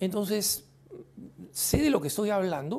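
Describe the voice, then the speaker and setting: This man's voice has a dark, mellow tone. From Peru, Lima. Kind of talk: Q&A commentary. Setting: studio.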